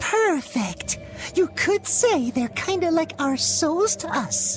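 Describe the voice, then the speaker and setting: A put-on character voice at a very slow pace over clear music in the background. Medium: machinima. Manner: playful, punny.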